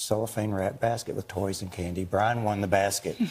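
Somewhat breathy and fairly low-pitched, a man speaks with fairly even intonation. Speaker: guest. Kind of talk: interview answer. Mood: warm, fond storytelling. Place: studio. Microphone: lapel.

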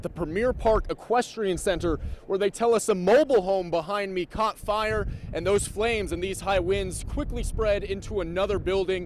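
The sound is dry with no echo, with light background noise. A man speaks in a high voice at a moderate pace with ordinary pitch variation. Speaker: TV news reporter. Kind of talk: live news report. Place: street. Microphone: handheld.

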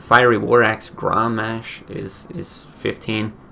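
A man speaks with music playing in the background. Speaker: streamer. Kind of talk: casual gameplay commentary. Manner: casual, conversational. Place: home room.

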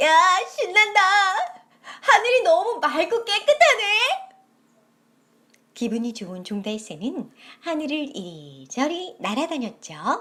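A raised, projected voice at a very slow pace, with very wide pitch swings, big swings in loudness and long, frequent pauses. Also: woman, extremely high pitch for a woman. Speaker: storyteller. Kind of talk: children's story reading.

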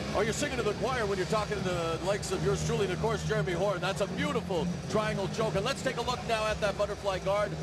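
A man speaks at a very fast pace with hardly any pauses, in a high-pitched, energetic tone. His loudness stays very even against noticeable background noise. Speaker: play-by-play commentator. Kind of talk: live sports commentary, play-by-play. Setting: cageside at live event. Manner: energetic, quick play-by-play.

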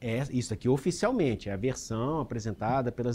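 Speaking with a Brazilian accent, a man keeps a moderate pace. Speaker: news presenter. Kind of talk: news panel moderation.

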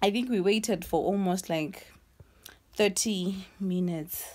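The speaker goes at a very slow pace with ordinary pitch variation. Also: woman. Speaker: vlogger. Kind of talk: casual vlog chat. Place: home room. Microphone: phone near.

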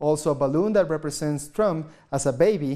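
Over a quiet background, a man with fairly high pitch and a dark, mellow tone talks at a fairly quick pace with ordinary pitch variation. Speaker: news anchor. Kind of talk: news reading. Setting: studio. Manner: formal. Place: studio. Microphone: lapel.

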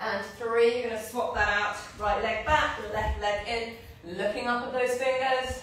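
A woman at a fairly slow pace and fairly even intonation, in strong room echo with light background noise. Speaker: fitness instructor. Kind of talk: live workout instruction. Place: gym. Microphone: camera far.

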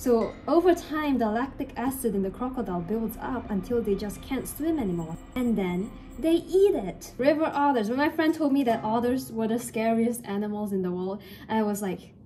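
Faint music plays behind a woman with a fairly high pitch. She talks at a moderate pace with lively intonation. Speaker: craft vlogger; crafting vlogger. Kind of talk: casual vlog commentary. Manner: mumbling at times. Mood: playful, jokey storytelling. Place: home room. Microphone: phone near.

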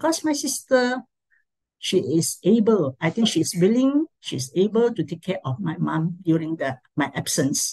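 In a Malaysian accent, a woman speaks with a dark, mellow, somewhat breathy tone and very wide pitch swings, against a quiet background. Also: fairly slow pace. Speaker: education administrator; presenter. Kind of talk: talk sharing. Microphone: video call.

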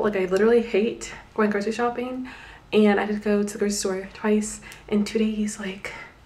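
A woman's monotone, flat delivery at a fairly quick pace. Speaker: vlogger. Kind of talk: casual vlog chat. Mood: mildly exasperated, chatty. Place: home room. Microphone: phone near.

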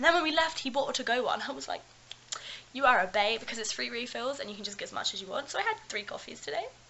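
A woman speaks at a very fast pace. Her voice is high-pitched. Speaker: student vlogger. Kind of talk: casual vlog chat. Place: home room. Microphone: webcam.

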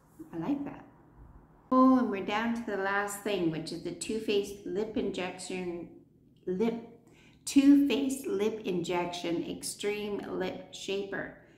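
A woman with a Canadian accent at a fairly slow pace, with audible room echo. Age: 60s. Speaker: beauty vlogger. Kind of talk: product review. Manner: animated. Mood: cheerful, relaxed. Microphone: phone near.

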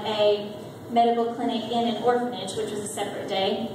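A woman's high-pitched voice at a moderate pace, with strong room echo and light background noise. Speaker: presenter. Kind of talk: church presentation talk. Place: church.

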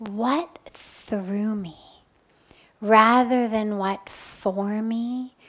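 A woman's very slow speech with ordinary pitch variation. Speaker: spiritual teacher. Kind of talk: spiritual talk answering a question. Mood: calm, gentle. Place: home room. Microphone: headset.

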